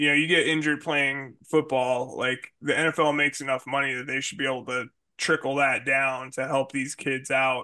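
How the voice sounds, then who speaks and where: This man talks at a moderate pace with hardly any pauses, his pitch fairly high. His tone is bright and sharp, and his intonation stays monotone and flat. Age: 40s. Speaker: podcast host. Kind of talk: casual chat. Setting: video call.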